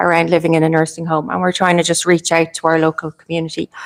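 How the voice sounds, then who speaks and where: Recorded with a dry, close sound and no echo, a woman talks in an Irish accent. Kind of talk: panel discussion. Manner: fast.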